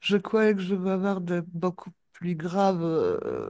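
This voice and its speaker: This woman talks very slowly at a medium pitch. Her tone is dark and mellow. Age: 60s. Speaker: hypnosis client. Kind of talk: post-session debrief.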